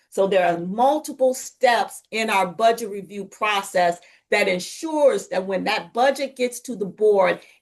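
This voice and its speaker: Medium pitch, a moderate pace and ordinary pitch variation from a woman with an unremarkable speaking voice. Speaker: school district finance official. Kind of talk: presentation.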